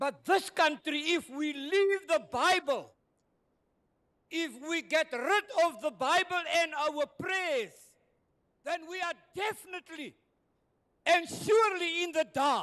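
Raising and projecting his voice, a man with an extremely high pitch and a bright, sharp tone speaks at a very slow pace with ordinary pitch variation and long, frequent pauses. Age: 70s. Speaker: retired pastor. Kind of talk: public hearing submission. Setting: community hall public hearing. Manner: impassioned, preacher-like.

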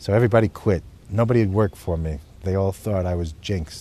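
In an American accent, a man talks at a fairly quick pace. His tone is dark and mellow. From United States. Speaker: zoologist and conservationist. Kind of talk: interview answer.

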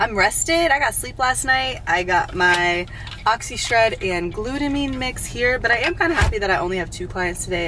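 A woman's voice sounds dry with no echo, over noticeable background noise. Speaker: fitness trainer, vlogger. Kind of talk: casual vlog chat. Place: car. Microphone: phone near.

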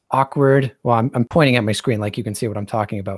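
Dry and close with no echo, a man with an unremarkable speaking voice talks at medium pitch with fairly even intonation. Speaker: 3D artist and tutorial narrator. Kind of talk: casual chat while working. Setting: video call.

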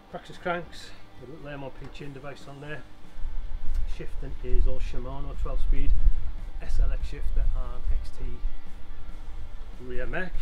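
The man talks at a moderate pace. Music sounds clearly in the background. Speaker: bike owner reviewing his new e-bike. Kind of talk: casual vlog chat. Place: garden.

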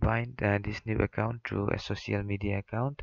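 The speaker has a non-native accent. Delivery is at a moderate pace with ordinary pitch variation. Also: man. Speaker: mobile game tutorial maker. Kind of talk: screen-recorded tutorial narration. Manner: hesitant, many fillers.

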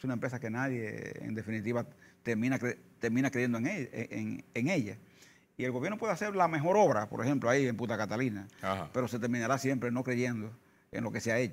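A man's very fast, medium-pitched speech with vocal fry and ordinary pitch variation. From Dominican Republic, Santo Domingo; Dominican Republic. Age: 60s. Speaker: trade union leader. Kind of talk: interview. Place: studio. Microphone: lapel.

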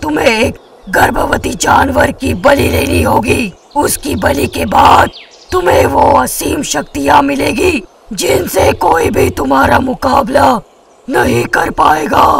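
Putting on a character voice, a man speaks at an extremely high pitch and a very slow pace in a menacing tone. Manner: menacing, mocking.

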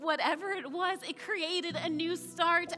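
A woman uses a raised, projected voice at a very slow pace. Clear music plays in the background. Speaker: spoken word poet. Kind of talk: spoken word poetry performance. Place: stage.

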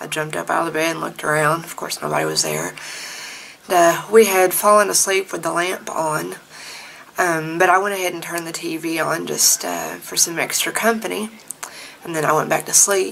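A woman talks at a fairly quick pace with big swings in loudness over light background noise. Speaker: vlogger. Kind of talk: casual vlog storytelling. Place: home room. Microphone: phone near.

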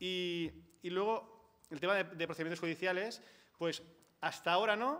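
With a Catalan accent, the speaker uses a bright, sharp tone, ordinary pitch variation and a moderate pace. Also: man, high pitch for a man. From Catalonia. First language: Catalan (speaking Spanish). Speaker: housing and energy rights activist. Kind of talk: panel talk. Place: hall. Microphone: podium.

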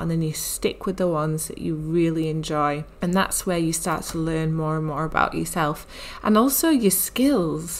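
Speaking with a British accent, a woman with a fairly low pitch talks at a moderate pace with hardly any pauses. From UK. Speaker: health and mindset coach. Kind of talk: solo podcast monologue.

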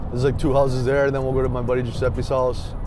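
Against music in the background, a man talks in a flat monotone with a dry sound and no echo. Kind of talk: casual vlog chat. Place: car.

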